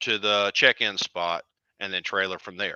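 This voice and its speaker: A man with a Southern US accent speaks at a moderate pace and a fairly low pitch. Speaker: drag racing event organizer. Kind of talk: casual interview chat.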